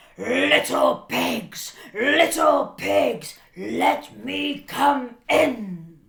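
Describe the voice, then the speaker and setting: A man does a put-on character voice that sounds raspy. He talks at a very slow pace. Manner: menacing, growly storytelling.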